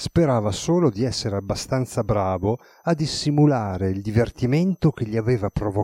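The intonation here is lively. The words are read aloud in a natural voice.

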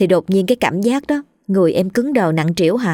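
Reading aloud in a natural voice with lively intonation, against a quiet background

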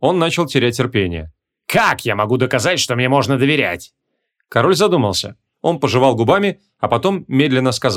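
The reading voice is unforced, with lively intonation. Behind it the background stays quiet.

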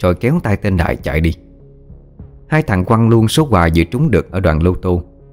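The speaker reads aloud. The voice is natural.

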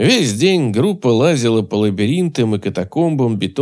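The reading voice is unforced. Lively intonation runs through it.

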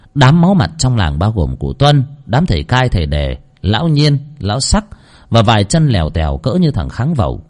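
What you hear is a natural reading voice.

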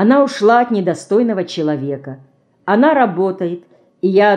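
A natural reading voice, intonation lively, background quiet

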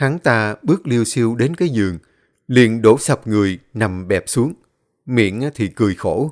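The text is read aloud in a natural voice. The background is quiet.

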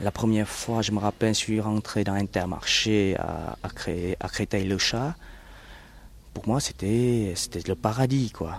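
A man with a Vietnamese accent at a very slow pace and fairly low pitch, ordinary pitch variation, and long, frequent pauses. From South Vietnam. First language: Vietnamese (speaking French). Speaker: Vietnamese refugee. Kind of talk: testimony. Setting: outdoors in a garden. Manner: halting, many hesitations.

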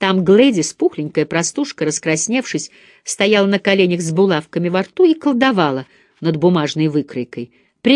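The intonation moves in a lively way. It is reading aloud in a natural voice.

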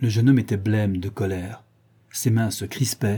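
A natural voice, reading aloud

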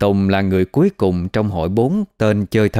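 Someone reads the text aloud naturally, with pitch that varies in an ordinary way.

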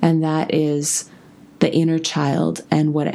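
With noticeable background noise behind her, a woman speaks at a very slow pace in a very deep, low pitch. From Russia (Moscow). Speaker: podcast host. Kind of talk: solo podcast monologue.

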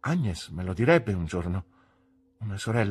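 What you hear is plain reading aloud, carried by lively intonation.

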